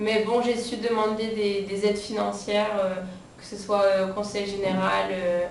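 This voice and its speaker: A woman's medium-pitched, monotone, flat voice at a fairly slow pace, with audible room echo and noticeable background noise. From France. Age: 20s. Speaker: humanitarian volunteer. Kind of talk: interview. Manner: hesitant, many fillers.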